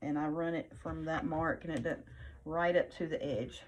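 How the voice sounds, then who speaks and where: Putting on a character voice, a woman sounds hoarse with a fairly low pitch. She keeps a moderate pace. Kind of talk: teaching a craft.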